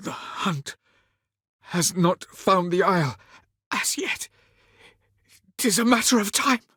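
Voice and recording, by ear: Putting on a character voice, a man speaks slowly and high, his tone bright and sharp with a slightly husky edge. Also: lively intonation, dry, close sound with no echo.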